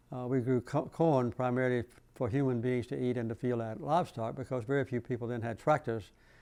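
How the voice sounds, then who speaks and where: A man with a Southern US accent and fairly even intonation. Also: medium pitch for a man, fairly quick pace, quiet background. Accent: Southern US (Georgia). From Plains, Georgia, US. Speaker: former US president. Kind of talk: oral history interview answer.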